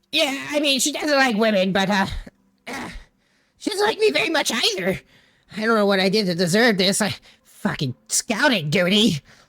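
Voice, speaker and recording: A female-sounding put-on character voice, fairly high in pitch, at a moderate pace with long, frequent pauses. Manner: grumbling, put-upon.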